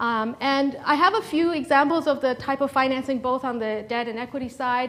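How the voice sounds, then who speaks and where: Noticeable background noise sits under a woman speaking at a high pitch. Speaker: startup founder and former venture capitalist. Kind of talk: seminar talk. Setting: seminar room with audience. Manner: hesitant, many fillers.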